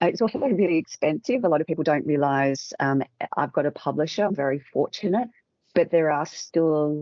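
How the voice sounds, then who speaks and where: With an Australian accent, a woman speaks with a very deep, low pitch, lively intonation and very even loudness at a fairly quick pace. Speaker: communications expert and author. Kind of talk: interview.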